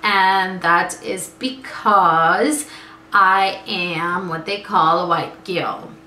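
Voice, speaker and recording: Noticeable background noise and audible room echo accompany a woman speaking in an American accent. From US, born in Guyana. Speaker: vlogger. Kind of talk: casual vlog.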